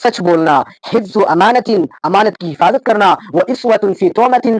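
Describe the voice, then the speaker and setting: A man with a high pitch speaks with lively intonation in a dry, close sound with no echo. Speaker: Islamic scholar giving a sermon. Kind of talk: Islamic sermon (bayan) in Urdu, mixing Arabic quotations. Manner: earnest, preaching.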